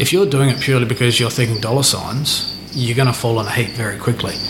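A man with an Australian accent talks at a medium pitch with fairly even intonation. Room echo is audible, and there is noticeable background noise. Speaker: reptile breeder and keeper. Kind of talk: casual interview chat. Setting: at his home beside animal enclosures. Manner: hesitant, many fillers.

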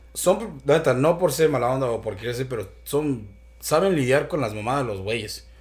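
The man's intonation is lively. His voice is somewhat breathy. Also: medium pitch for a man, moderate pace. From Michoacán, Mexico. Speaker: podcast host. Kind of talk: casual chat.

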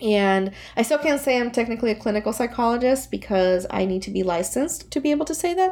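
A woman with a Puerto Rican accent speaks at a very fast pace with hardly any pauses. Her fairly high pitch moves in very wide swings. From Puerto Rico. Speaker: therapist. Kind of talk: podcast interview.

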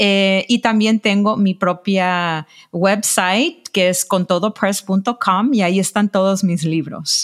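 The recording is very clean with a silent background, and a woman speaks in a normal speaking voice at medium pitch. Her pace is fairly slow with hardly any pauses, ordinary pitch variation and very even loudness. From Los Angeles, Mexican-American. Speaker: journalist and publisher. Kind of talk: interview. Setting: call.

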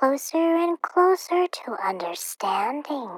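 A woman in a put-on character voice talks at a slow pace and high pitch with big pitch swings, in a dry, close sound with no echo.

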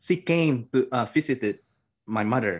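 With an Indonesian accent and lively intonation, a man speaks over a quiet background. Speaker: theology graduate. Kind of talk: interview testimony.

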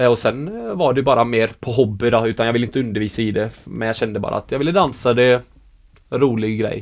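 This man's delivery is very fast. His voice sits at a medium pitch and varies in an ordinary way. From Sweden. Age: 20s. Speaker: professional dancer. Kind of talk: interview.

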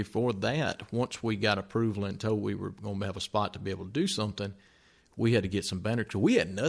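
With a Mississippi accent, a man speaks at a fairly low pitch and with fairly even intonation, recorded very cleanly against a silent background. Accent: Southern US (Mississippi). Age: 40s. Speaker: podcast co-host. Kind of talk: casual chat.

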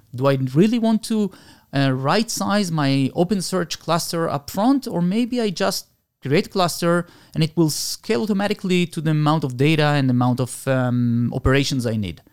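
A man's fairly high voice with very wide pitch swings, at a moderate pace, in a dry, close recording with no echo. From Argentina. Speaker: cloud solutions architect. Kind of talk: interview.

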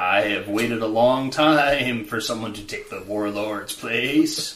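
A man puts on a character voice at medium pitch. His pace is fairly slow.

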